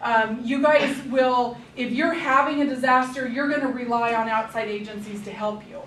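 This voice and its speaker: Against noticeable background noise, a woman with a high pitch talks at a moderate pace with fairly even intonation, big swings in loudness and hardly any pauses. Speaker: public health emergency preparedness trainer. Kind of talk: staff training presentation.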